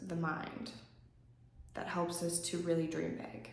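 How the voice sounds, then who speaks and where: A woman's fairly low voice amid noticeable background noise, with audible room echo. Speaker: yoga instructor. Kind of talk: guided yoga class and journaling prompts. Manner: casual, with frequent um fillers.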